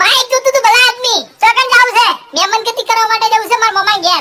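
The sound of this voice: An extremely high-pitched cartoonish character voice at a fairly quick pace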